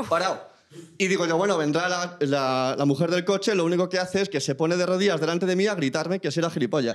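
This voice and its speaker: Here a man with a Spanish accent talks at a very fast pace in a high pitch. His loudness stays very even. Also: ordinary pitch variation, quiet background. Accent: Peninsular Spanish. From Spain. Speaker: audience member. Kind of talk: anecdote telling. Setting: stage with audience. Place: stage. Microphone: handheld.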